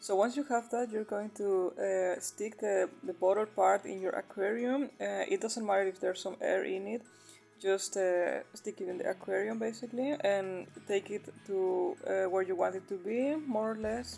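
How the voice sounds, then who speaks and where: A woman with a non-native accent speaks at a moderate pace with hardly any pauses while music plays in the background. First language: not English. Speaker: aquarium hobbyist. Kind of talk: DIY tutorial voice-over. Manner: casual, hesitant with fillers.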